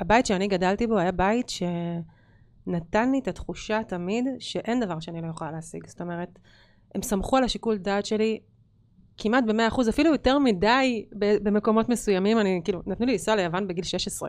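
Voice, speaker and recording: Speaking at a fairly quick pace, a woman uses a normal speaking voice of medium pitch with ordinary pitch variation on a very clean recording with a silent background. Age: 40s. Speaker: entrepreneur and business owner. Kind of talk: casual interview chat. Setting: studio.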